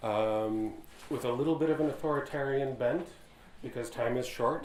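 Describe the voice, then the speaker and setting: A man talks at a fairly quick pace with a medium pitch and fairly even intonation. Audible room echo and noticeable background noise are present. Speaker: professor and panel moderator. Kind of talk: panel moderation. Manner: loud. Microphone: unsure if audible without microphone.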